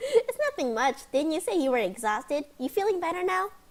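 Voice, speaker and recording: Using a squeaky, put-on character voice with a high pitch, a woman talks at a fairly quick pace with very wide pitch swings. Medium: game stream.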